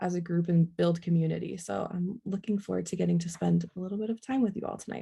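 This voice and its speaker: At a very fast pace, a woman talks in a medium pitch. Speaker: online educator, workshop presenter. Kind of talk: online workshop presentation.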